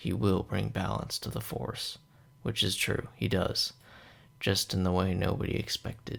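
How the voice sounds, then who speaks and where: Soft-spoken, a man talks. His pace is fairly slow. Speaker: movie reviewer. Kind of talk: movie review monologue. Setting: at home late at night. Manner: quiet, soft-spoken.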